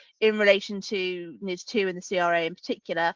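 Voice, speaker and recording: With a British accent, a woman speaks fairly quickly at a medium pitch and with ordinary pitch variation. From UK. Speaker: lawyer, regulatory and tech law lead. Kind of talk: webinar panel discussion. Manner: hesitant, many fillers.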